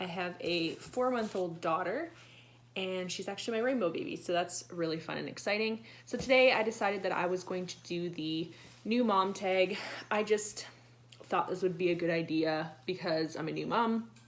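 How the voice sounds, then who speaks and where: Noticeable background noise sits behind a woman who speaks at a moderate pace with medium pitch and ordinary pitch variation. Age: 20s. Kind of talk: casual talk to camera.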